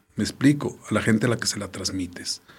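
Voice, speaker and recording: The speaker is a man with a normal speaking voice. He talks at a fairly quick pace. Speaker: theatre artist and arts educator. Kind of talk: casual interview.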